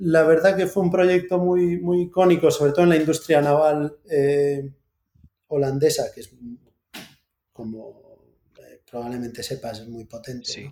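Speaking fairly slowly with long, frequent pauses, a man has a dark, mellow tone, a fairly high pitch, ordinary pitch variation and big swings in loudness. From Galicia, Santiago de Compostela. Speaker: naval engineering company founder. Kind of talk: casual interview. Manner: hesitant with many fillers.

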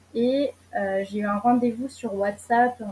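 A woman at a fairly high pitch and a very slow pace, with noticeable background noise. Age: 20s. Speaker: traveller sharing experience. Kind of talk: casual interview. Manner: hesitant, many fillers.

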